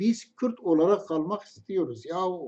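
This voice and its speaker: A man's dark, mellow tone with a Kurdish accent. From Kurdish region. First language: Kurdish (speaking Turkish). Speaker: religious commentator. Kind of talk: storytelling monologue.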